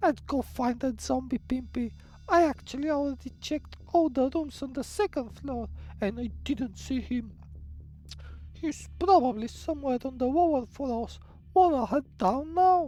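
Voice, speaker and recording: A woman's put-on character voice at a moderate pace. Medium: game stream. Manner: cool and teasing.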